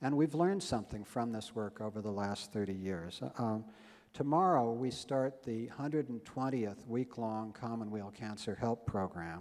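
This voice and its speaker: At a moderate pace, a man talks in a normal speaking voice, his medium pitch showing ordinary pitch variation. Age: 60s. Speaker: health-care nonprofit founder. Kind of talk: conference speech. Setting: stage with audience.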